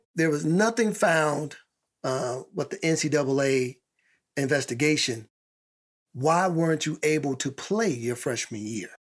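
On a very clean recording with a silent background, a man speaks at a very slow pace with long, frequent pauses, his fairly high pitch carried by lively intonation. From Chicago. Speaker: podcast host. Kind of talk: casual interview chat.

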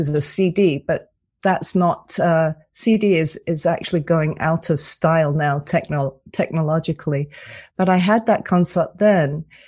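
In a quiet background, a woman with a British accent talks fairly slowly in a fairly low, somewhat breathy voice with ordinary pitch variation. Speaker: cantor, author and coach. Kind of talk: radio interview.

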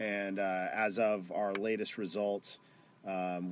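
A man with an American accent talks at a fairly low pitch in a monotone, flat intonation. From Texas (Garland) and Phoenix, Arizona. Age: 20s. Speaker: amateur football club owner. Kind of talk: casual chat.

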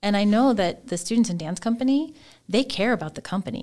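A woman with an ordinary speaking voice, lively intonation and a fairly quick pace, on a very clean recording with a silent background. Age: 50s. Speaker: dance teacher and department chair. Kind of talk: casual chat. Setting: studio.

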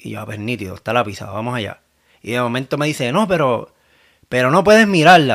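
A man at medium pitch, very fast pace and lively intonation. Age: 30s. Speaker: new father. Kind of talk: casual chat.

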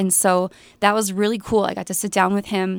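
In a very clean recording with a silent background, a woman with an Upper Midwest accent talks with fairly even intonation. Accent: Upper Midwest (Minnesota). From central Minnesota. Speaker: newspaper reporter. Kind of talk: casual radio interview.

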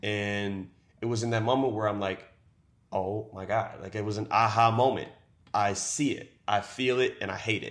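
A man with an American accent, fairly low in pitch, in a monotone, flat intonation at a moderate pace. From Baltimore, Maryland. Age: 20s. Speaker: reality TV contestant and content creator. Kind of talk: casual interview. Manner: halting, repeats words.

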